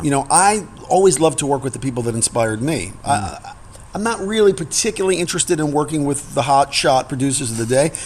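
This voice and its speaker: A man with a fairly high voice and an American accent talks at a very fast pace with lively intonation amid noticeable background noise. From New York. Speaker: singer-songwriter and pianist. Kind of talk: interview answer. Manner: candid, reflective.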